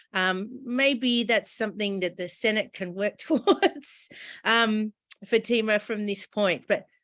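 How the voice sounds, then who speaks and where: At a fairly slow pace, a woman with an Australian accent speaks at a fairly high pitch against a quiet background. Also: ordinary pitch variation. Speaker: interviewer, nonprofit CEO. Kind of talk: interview.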